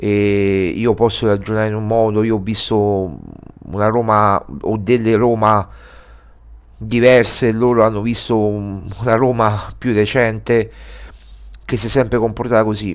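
A man speaks in a flat monotone at a fairly low pitch. His pace is fairly slow, with long, frequent pauses. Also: quiet background. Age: 40s. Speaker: sports journalist and editor. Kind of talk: video commentary monologue. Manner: halting, many fillers. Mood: disappointed, earnest. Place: home room. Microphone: headset.

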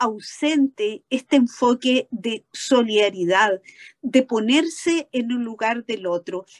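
A woman with a high pitch speaks at a very slow pace over a quiet background. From Chile. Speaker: law professor; conference panelist commenting. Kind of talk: panel discussion. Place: office. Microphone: webcam.

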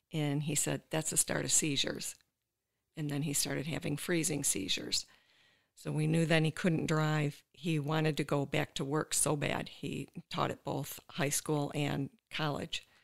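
A woman with very deep, low pitch and vocal fry, flat and monotone at a moderate pace, in a very clean recording with a silent background. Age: 60s. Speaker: caregiver and former special education teacher. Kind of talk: testimony.

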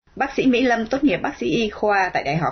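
A woman speaks in a somewhat breathy voice. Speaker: radio announcer. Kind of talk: scripted announcement. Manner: formal.

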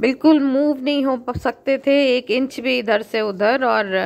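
A woman speaking at a fairly slow pace, with little pitch movement

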